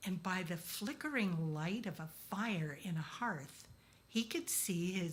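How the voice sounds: Ordinary pitch movement in a natural reading voice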